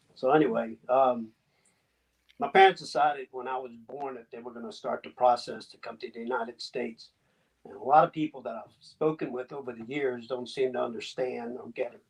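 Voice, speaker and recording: A man talks at a fairly quick pace with a slight Southern US accent. His pitch is medium with ordinary variation, and his loudness swings a lot. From US South. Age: 60s. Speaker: immigrant telling family story. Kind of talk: testimony.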